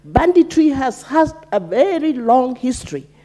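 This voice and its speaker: A woman with a high voice talks while clear background noise carries on around her. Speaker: member of parliament. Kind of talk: parliamentary debate speech. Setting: parliament chamber.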